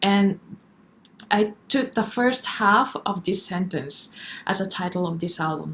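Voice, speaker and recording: With a Japanese accent, a woman speaks using lively intonation. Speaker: singer. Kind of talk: casual commentary. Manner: halting.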